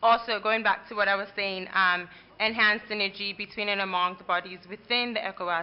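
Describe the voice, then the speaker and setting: A woman talks at a moderate pace and a medium pitch. She has a plain, everyday voice. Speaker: conference rapporteur. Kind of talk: conference report-back.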